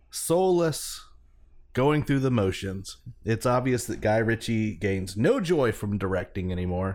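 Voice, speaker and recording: An unremarkable speaking voice with lively intonation moves at a fairly slow pace on a very clean recording with a silent background. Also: man, medium pitch for a man. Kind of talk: mock-solemn radio DJ patter, parody beer-check-in segment.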